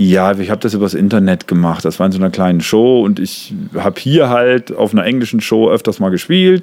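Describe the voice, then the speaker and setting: A man speaks at a fairly quick clip with hardly any pauses, his pitch fairly low and its variation ordinary. His is an unremarkable speaking voice. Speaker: comedian and songwriter. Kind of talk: casual chat. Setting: outdoors on a terrace.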